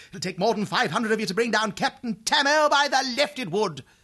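Projecting his voice loudly, a man talks at a fairly quick pace with lively intonation and a bright, sharp tone. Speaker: audiobook narrator voicing characters. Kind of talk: character voices in dramatic audiobook reading. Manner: boisterous, swaggering boyish bravado.

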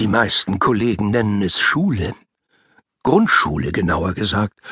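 Bright, sharp tone with lively intonation. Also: man. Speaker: audiobook narrator. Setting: studio.

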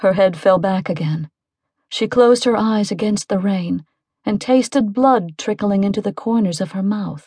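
Against a quiet background, a woman with a medium pitch and a somewhat breathy voice talks at a moderate pace with ordinary pitch variation. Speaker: audiobook narrator. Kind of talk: dramatic audiobook narration, reading aloud. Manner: tense, suspenseful, hushed whispers in dialogue; vivid, animated pacing that builds with the action.

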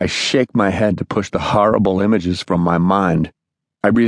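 With a quiet background, the recording carries an unforced reading voice.

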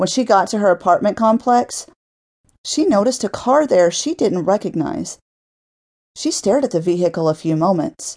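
Over a quiet background, a woman's voice moves through very wide pitch swings. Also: medium pitch for a woman, moderate pace. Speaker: audiobook narrator. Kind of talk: dramatic audiobook narration of a violent fiction story, read aloud.

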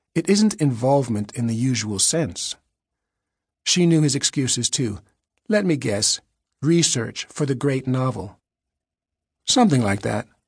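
This man's medium-pitched voice is somewhat breathy, with lively intonation and a dramatic tone. He talks at a fairly slow pace and takes long, frequent pauses. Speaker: audiobook narrator. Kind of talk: scripted audiobook narration, dramatic thriller reading. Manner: dramatic, wry, measured storyteller pacing; shifts tone to voice characters' dialogue.

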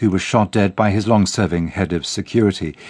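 With an unremarkable speaking voice, a man talks at a fairly quick pace in a fairly low pitch. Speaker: radio newsreader. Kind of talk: news reading, BBC world news bulletin. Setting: studio. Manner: formal, measured, crisp and even-paced.

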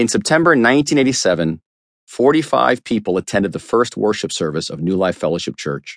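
Against a quiet background, a man with a medium pitch and vocal fry talks at a fairly quick pace with very wide pitch swings, the sound dry and close with no echo. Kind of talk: audiobook narration of a memoir, read aloud. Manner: measured, steady, earnest reading pace; sincere, reflective storytelling tone.

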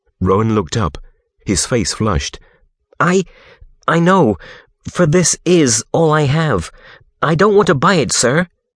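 In a dry, close recording with no echo, a man with a fairly high voice and vocal fry speaks dramatically at a fairly slow pace, his pitch swinging very widely while his loudness stays very even, broken by long, frequent pauses. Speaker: audiobook narrator. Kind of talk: scripted audiobook narration. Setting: recorded audiobook, studio. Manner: dramatic, storytelling delivery with expressive pacing.

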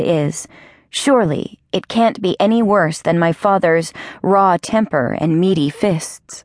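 Against a quiet background, a woman with an ordinary speaking voice talks at medium pitch with lively intonation. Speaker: audiobook narrator. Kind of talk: dramatic audiobook narration, first person. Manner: tense, hushed, building to a menacing climax; measured, vivid, emotionally charged.

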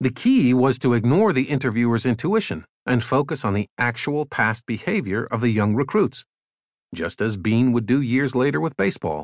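A plain, everyday voice from a man at medium pitch, moderate pace and lively intonation, in a dry, close sound with no echo. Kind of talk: audiobook narration of a magazine essay. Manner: formal, even and measured, clear scholarly delivery.

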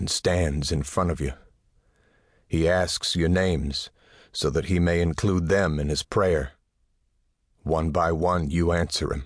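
Very deep, low-pitched man with vocal fry, a solemn, dramatic tone, fairly even intonation, a fairly slow pace, long, frequent pauses, and a quiet background. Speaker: audiobook narrator. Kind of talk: scripted dramatic narration, second-person, solemn and atmospheric. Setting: studio. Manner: slow, measured, solemn and hushed, building to a dramatic, pleading tone.

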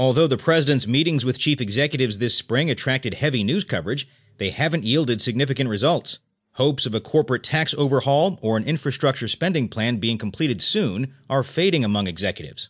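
Very fast speech from a man at medium pitch, with lively intonation against a quiet background. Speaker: audiobook narrator. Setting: studio. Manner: steady, even and neutral, with crisp clear enunciation and little emotion.

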